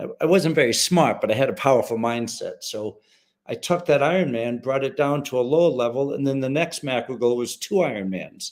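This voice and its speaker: In a plain, everyday voice, a man with an American accent talks fairly quickly at a fairly high pitch with ordinary pitch variation. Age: 60s. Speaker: retired special forces soldier. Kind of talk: interview.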